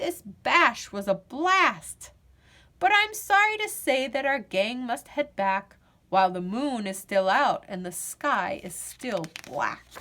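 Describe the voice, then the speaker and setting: A woman's put-on character voice, high-pitched and fairly slow, with very wide pitch swings. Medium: read story. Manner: brisk, bossy.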